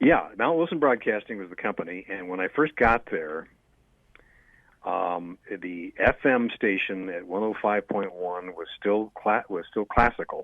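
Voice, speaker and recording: A man with an ordinary speaking voice speaks at a fairly slow pace, fairly low in pitch, with lively intonation. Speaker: radio personality and voiceover talent. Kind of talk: interview answer.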